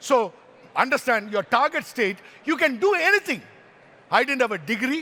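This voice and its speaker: A man's raised, projected voice, extremely high and bright and sharp, with an animated tone, very wide pitch swings, a moderate pace and long, frequent pauses. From Kerala, India. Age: 60s. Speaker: motivational speaker. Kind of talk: motivational talk.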